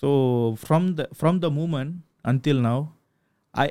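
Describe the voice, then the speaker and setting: On a very clean recording with a silent background, a man with a fairly high pitch speaks in a dark, mellow tone with ordinary pitch variation. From Malaysia, Kedah (Sungai Petani). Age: 30s. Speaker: film director. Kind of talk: interview.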